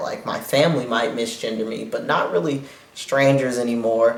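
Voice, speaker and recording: Both noticeable background noise and audible room echo are present throughout. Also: man. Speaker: vlogger. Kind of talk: video diary. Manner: uneven pitch and volume.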